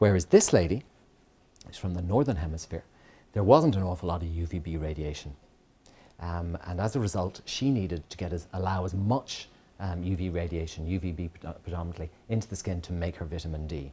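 In a very deep, low pitch and a dark, mellow tone, a somewhat breathy man talks at a fairly quick pace, with big swings in loudness and long, frequent pauses. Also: ordinary pitch variation. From Kenya. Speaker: dermatologist giving a guest lecture; lecturer. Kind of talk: lecture. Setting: lecture hall with audience. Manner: hesitant, many fillers. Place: hall.

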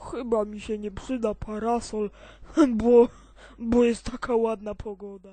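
This is a cartoonish character voice that sounds female and fairly high-pitched. Its intonation stays monotone and flat. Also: moderate pace. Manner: whiny, grumbling.

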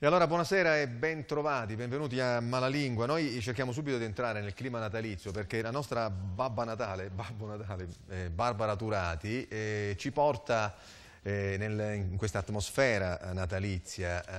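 At a moderate pace, a man speaks at medium pitch with ordinary pitch variation. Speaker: TV talk show host. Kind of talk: studio panel discussion. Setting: TV studio. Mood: ironic, playful. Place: studio. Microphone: lapel.

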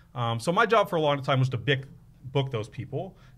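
The man's voice is somewhat breathy. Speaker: podcast guest. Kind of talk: interview answer. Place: studio. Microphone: studio mic.

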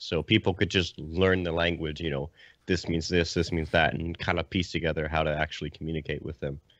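A man with a very deep, low pitch speaks at a fairly quick pace in a monotone, flat intonation. The sound is dry with no echo, and the background is quiet. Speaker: podcast panelist. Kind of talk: casual chat. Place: home room.

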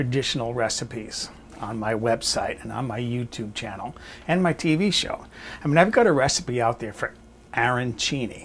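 A somewhat breathy man speaks fairly slowly over light background noise. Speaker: home cook. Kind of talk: cooking demonstration. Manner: calm, soft-spoken. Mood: friendly, relaxed, chatty. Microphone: lapel.

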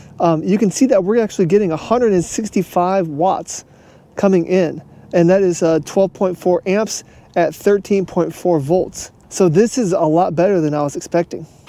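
Fairly slow pace, dry sound with no echo. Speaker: product reviewer. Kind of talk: tutorial. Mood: pleased, upbeat. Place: open country. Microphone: lapel.

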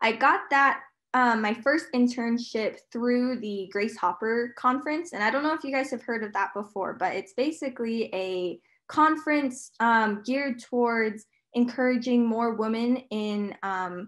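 A woman's fairly slow delivery with ordinary pitch variation over a quiet background. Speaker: panelist. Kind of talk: panel talk, personal experience. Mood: friendly, smiling, relaxed. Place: home room. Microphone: video call.

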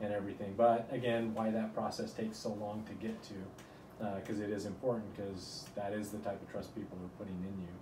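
A man with an American accent talks at a very fast pace, his pitch fairly low. His intonation stays flat and monotone over noticeable background noise. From rural Utah, US. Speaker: neurosurgeon; interviewee. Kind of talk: interview. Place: office.

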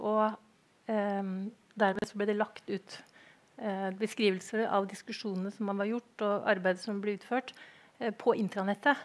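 A woman speaks at a moderate pace in a monotone, flat intonation, with long, frequent pauses. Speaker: academic researcher commenting. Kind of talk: conference talk. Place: hall.

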